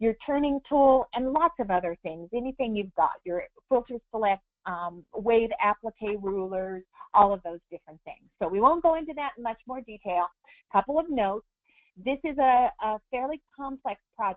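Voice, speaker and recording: A woman talks at a moderate pace with lively intonation and a fairly high pitch. Hers is an unremarkable speaking voice. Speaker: embroidery software instructor. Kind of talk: tutorial. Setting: webinar.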